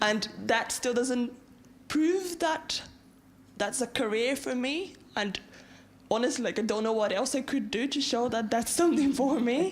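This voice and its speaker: Amid audible room echo, a woman speaks at a fairly slow pace with long, frequent pauses, a high pitch with ordinary variation and very even loudness. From Brazil. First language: Portuguese. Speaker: university student, audience member. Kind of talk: audience question at a lecture.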